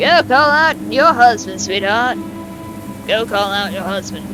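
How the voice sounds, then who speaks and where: Over clear background noise, a man in a put-on character voice drawls at a fairly slow pace and high pitch. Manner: patronizing, confrontational.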